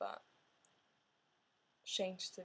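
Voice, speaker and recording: The speaker has a non-native accent and goes at a very slow pace. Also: woman. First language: not English. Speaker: art student and artist. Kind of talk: video diary monologue. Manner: hesitant, many filler sounds.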